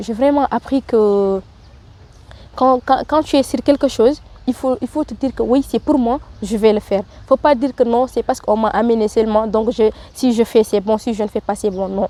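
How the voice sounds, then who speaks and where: A woman speaks at a moderate pace with a fairly high pitch and ordinary pitch variation. Her tone is dark and mellow, and the sound is dry and close with no echo. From Mauritania. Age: 20s. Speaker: training programme participant. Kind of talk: interview testimony. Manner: halting.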